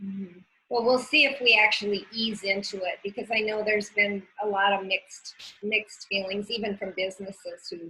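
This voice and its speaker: A woman with a plain, everyday voice talks fairly quickly at a medium pitch, her intonation fairly even. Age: 60s. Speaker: community interviewer. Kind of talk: interview.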